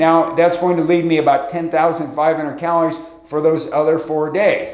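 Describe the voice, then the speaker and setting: There is audible room echo and noticeable background noise. Through it, a man with a fairly high voice talks at a moderate pace. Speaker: fitness video host. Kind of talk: video tutorial monologue. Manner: casual, many filler words.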